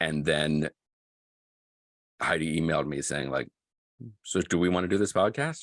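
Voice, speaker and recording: Speaking at a moderate pace with long, frequent pauses, a man with an American accent uses a very deep, low pitch and ordinary pitch variation, recorded dry and close with no echo. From Boston. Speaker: podcast co-host. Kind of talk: casual interview chat. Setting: video call.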